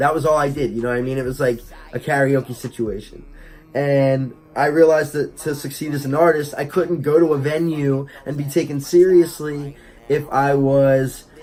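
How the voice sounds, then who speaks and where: This man talks at a moderate pace in a fairly high pitch. His intonation is flat and monotone. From New Jersey, Wildwood. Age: 20s. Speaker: rapper and vlogger. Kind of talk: casual vlog. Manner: hesitant, many fillers.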